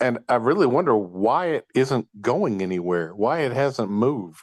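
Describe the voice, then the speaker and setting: A man speaks at a fairly slow pace and a medium pitch, his voice swinging very widely up and down. The background is quiet. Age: 60s. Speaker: audience member. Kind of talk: audience question.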